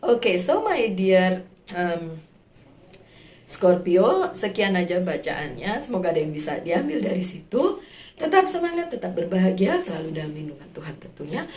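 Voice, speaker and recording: A woman's medium-pitched voice at a moderate pace, with big swings in loudness, ordinary pitch variation and noticeable background noise. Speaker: tarot reader. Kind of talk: tarot reading for viewers. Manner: casual, with many fillers.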